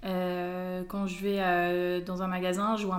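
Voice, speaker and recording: A woman talks at a medium pitch, and audible room echo can be heard around her. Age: 20s. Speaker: fashion blogger. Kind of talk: casual interview chat.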